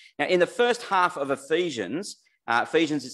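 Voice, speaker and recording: This man has a normal speaking voice and lively intonation, talking at a moderate pace. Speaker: preacher. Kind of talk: sermon. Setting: church with online audience.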